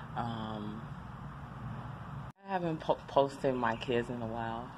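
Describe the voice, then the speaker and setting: Noticeable background noise behind a woman talking. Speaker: mother and makeup channel host. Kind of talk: casual talk to camera. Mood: reflective, calm. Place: street. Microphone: phone near.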